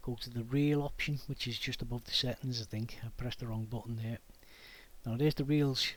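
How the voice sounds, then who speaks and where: Talking at a fairly quick pace, a man with a Liverpool accent keeps his intonation fairly even. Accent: Liverpool (Scouse). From Liverpool, England. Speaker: DIY YouTuber. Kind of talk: tutorial. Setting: home garage workshop. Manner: casual, conversational.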